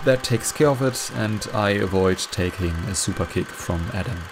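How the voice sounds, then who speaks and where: German accent at a moderate pace, with music in the background. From Germany. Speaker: wrestling commentary youtuber. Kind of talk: casual commentary monologue.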